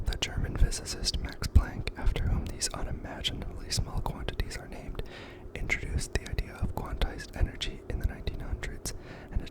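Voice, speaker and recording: Over noticeable background noise, a man whispers at a very fast pace. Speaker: ASMR creator. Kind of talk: ASMR book reading. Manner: soft-spoken, relaxing.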